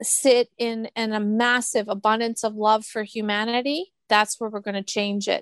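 In a Canadian accent, an ordinary speaking voice talks at a fairly slow pace with a dry, close sound and no echo. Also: woman. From Canada. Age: 50s. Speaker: spiritual medium. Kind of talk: interview conversation.

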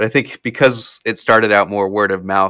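A man with an American accent speaks at a fairly low pitch in a bright, sharp tone. His intonation is monotone and flat. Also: very clean recording, silent background. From Florida and New Jersey (Princeton area). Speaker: musician and software entrepreneur. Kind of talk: casual interview.

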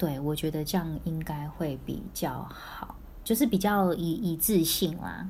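A woman with a fairly low voice and vocal fry speaks at a fairly slow pace, with audible room echo around her. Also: ordinary pitch variation. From Taiwan, then Singapore and Vancouver from early teens. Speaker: former overseas student. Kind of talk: casual chat.

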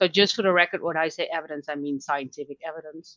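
A woman speaks with a Dutch accent. Her pitch varies in an ordinary way. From Netherlands. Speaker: learning designer and author. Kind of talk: interview.

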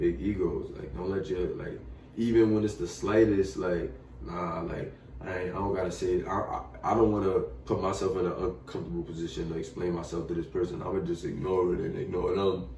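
With an American accent, a man with a very deep, low pitch talks at a fairly quick pace and ordinary pitch variation amid noticeable background noise and audible room echo. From Bushwick, Brooklyn, New York. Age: young. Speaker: musician. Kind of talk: casual interview.

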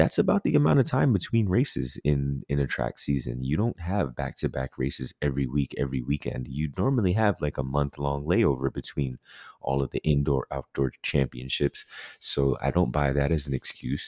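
With a dark, mellow tone, the voice moves at a moderate pace with ordinary pitch variation, in a dry, close sound with no echo. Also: man, very deep, low pitch for a man. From Jamaica. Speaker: sports podcast co-host. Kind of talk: casual chat.

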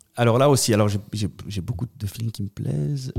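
This man's voice has a dark, mellow tone and a medium pitch with ordinary pitch variation. The sound is dry and close, with no echo. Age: 30s. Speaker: political candidate. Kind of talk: interview.

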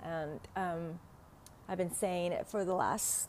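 A woman speaks with a Vietnamese accent. Her voice has a medium pitch. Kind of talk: casual solo podcast talk. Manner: halting, many fillers.

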